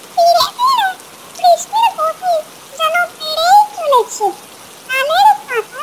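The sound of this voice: A cartoonish character voice at an extremely high pitch speaks at a very slow pace over light background noise.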